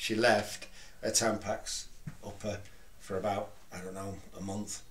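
A man with an East Midlands accent talks at fairly low pitch in a monotone, flat intonation. Room echo is audible. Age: 40s. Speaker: retired adult film actor, photographer; podcast guest or host. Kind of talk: casual chat. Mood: relaxed, candid. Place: studio.

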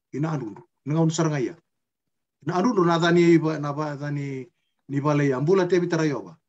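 A man talks at a very fast pace with a fairly high pitch and ordinary pitch variation. His loudness swings widely, and he leaves long, frequent pauses. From Fiji, Macuata province; Fiji. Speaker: interviewee. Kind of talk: casual chat. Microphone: video call.

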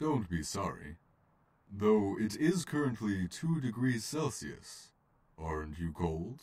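A man speaks in a put-on character voice, his pitch fairly low and his pace fairly slow. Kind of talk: comic dub. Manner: calm, gentle.

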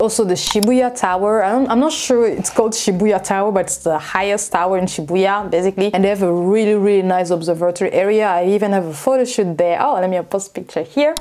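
A very fast pace with hardly any pauses, ordinary pitch variation and light background noise. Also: woman. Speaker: travel vlogger. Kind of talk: casual vlog monologue. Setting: lives in Tokyo area. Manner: animated, casual. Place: home room.

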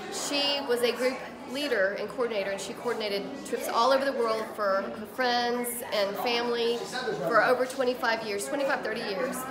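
Loud background noise fills the recording. A woman speaks through it at a moderate pace. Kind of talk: interview answer. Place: hall. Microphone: phone near.

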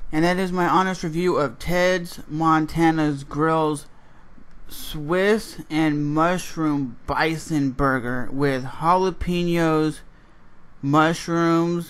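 Fairly even in intonation, a man speaks at a very slow pace. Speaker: food reviewer. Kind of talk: casual vlog chat. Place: home room. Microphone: studio mic.

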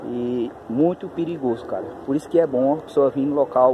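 Against noticeable background noise, a man speaks at a fairly slow pace with a medium pitch and ordinary pitch variation, the sound dry with no echo. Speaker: paranormal explorer youtuber; vlogger exploring. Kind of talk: vlog narration on location. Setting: outdoors in woods. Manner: speaking quietly. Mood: cautious, tense. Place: forest. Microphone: phone near.

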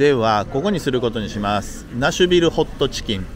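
Noticeable background noise behind a man's dry, echo-free voice. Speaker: travel vlogger. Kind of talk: casual vlog chat. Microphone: phone near.

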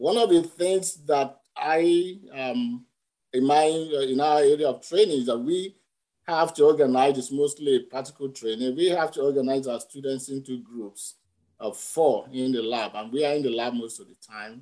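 A dark, mellow tone at a moderate pace, with lively intonation and big swings in loudness against a quiet background. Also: man. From Nigeria. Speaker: veterinary anatomy professor. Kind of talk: panel discussion. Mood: warm, reflective. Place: home room. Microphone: video call.

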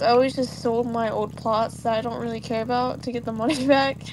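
Through noticeable background noise, a woman speaks at a very fast pace in a high voice with fairly even intonation. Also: hardly any pauses. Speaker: gaming co-host. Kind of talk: casual chat.

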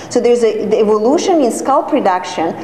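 A woman's fairly high voice amid light background noise and audible room echo. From Serbia. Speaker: hair transplant coordinator and course director giving a talk. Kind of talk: lecture. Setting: conference stage with audience. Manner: halting, with frequent fillers and restarts. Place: classroom. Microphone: camera far.

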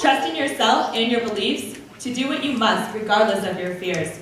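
Light background noise and audible room echo surround a woman speaking at a moderate pace with a fairly high pitch. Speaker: student poet. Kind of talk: spoken-word poetry performance, trading lines with a partner. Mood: uplifting, proud. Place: church. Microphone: podium.

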